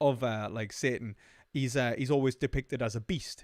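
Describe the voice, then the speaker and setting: With a Newcastle accent, a man speaks at a moderate pace with fairly even intonation, the sound dry and close with no echo. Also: very clean recording, silent background. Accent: Northern English, Newcastle (Geordie). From northern England, Jarrow near Newcastle (Geordie). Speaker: philosophy discussion guest. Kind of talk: casual chat. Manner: halting, many fillers.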